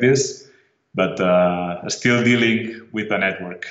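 A man's fairly even intonation with audible room echo. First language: Spanish or Catalan. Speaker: tech company CEO. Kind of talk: interview. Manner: halting.

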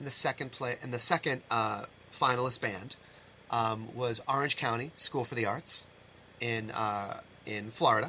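A man with an American accent has an unremarkable speaking voice, medium in pitch. He talks at a moderate pace with fairly even intonation. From Massachusetts, US. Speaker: high school band director. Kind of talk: casual interview chat.

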